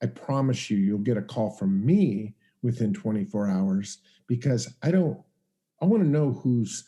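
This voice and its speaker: Lively intonation in a man's somewhat breathy voice, its tone dark and mellow. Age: 60s. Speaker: real estate investor and educator. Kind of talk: interview. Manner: halting.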